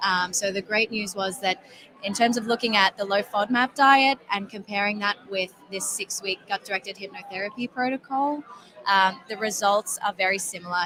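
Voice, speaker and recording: Speaking in an Australian accent, a woman talks. Her pitch is medium. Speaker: health app company representative. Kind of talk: interview. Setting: conference floor.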